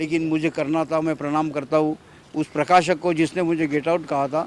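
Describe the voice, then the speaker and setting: A man's fairly high voice, monotone and flat, at a moderate pace. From Maharashtra, Amravati district village. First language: Marathi (speaking Hindi). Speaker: author. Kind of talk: interview.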